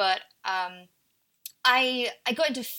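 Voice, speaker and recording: A woman with an Essex accent speaks in a bright, sharp tone with ordinary pitch variation. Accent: Essex English, h-dropping. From Essex, England. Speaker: video creator guest host. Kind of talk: casual chat.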